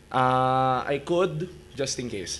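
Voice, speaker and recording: The man's intonation remains fairly even as he speaks. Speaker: conference speaker, wiki editor; conference presenter. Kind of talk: conference presentation. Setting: stage with audience. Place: hall. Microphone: podium.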